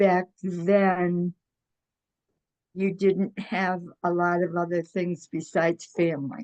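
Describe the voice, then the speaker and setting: With an American accent, this voice moves at a very slow pace with fairly even intonation and long, frequent pauses. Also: woman, fairly low pitch for a woman. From Michigan, US Midwest. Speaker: retired x-ray technician. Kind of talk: oral history interview. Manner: hesitant, many fillers.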